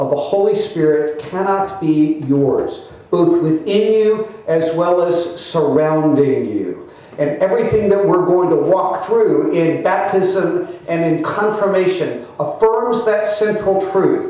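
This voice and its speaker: In a room with strong echo, a man speaks at a very slow pace, his pitch high with ordinary variation. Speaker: clergyman preaching. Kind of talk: sermon. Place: church. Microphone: podium.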